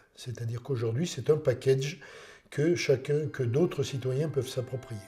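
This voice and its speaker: With music in the background, a man speaks at medium pitch and a moderate pace with fairly even intonation. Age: 60s. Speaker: citizen project member. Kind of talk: documentary interview.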